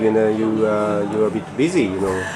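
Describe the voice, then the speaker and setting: A man is speaking with music in the background. Room echo is audible. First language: Japanese. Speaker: interviewer. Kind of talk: interview. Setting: cafe. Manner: halting.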